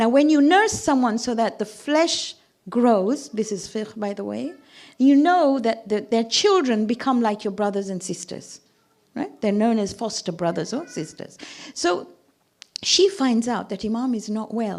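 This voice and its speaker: The speaker uses a normal speaking voice at a moderate pace. Intonation is lively. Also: woman. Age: 60s. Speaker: religious speaker (zakira). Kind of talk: sermon.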